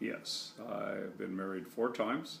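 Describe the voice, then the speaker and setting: A man speaks with an American accent in a very deep, low voice. His pitch varies in an ordinary way, and there is audible room echo. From California. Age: 60s. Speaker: grandparent interviewee. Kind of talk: family history interview. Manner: hesitant, many fillers.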